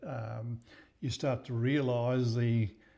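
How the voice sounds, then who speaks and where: A man speaks at a medium pitch with an Australian accent. His tone is dark and mellow. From Queensland, Australia (Maryborough). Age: 80s+. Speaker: local historian. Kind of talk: interview. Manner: halting, many repetitions.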